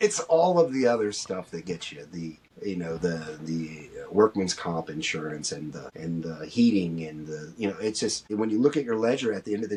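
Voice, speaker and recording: Amid noticeable background noise, a man with an American accent speaks at a moderate pace and a fairly low pitch, his intonation lively. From US Midwest, Ohio (Dayton area). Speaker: clothing brand founder. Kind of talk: podcast interview. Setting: podcast recording.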